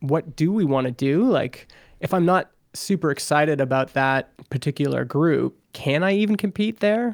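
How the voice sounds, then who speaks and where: A man's fairly high voice with lively intonation and a Canadian accent, very even loudness, an ordinary speaking voice, in a very clean recording with a silent background. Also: moderate pace. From Alberta, Canada. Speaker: software founder and podcaster. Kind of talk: interview.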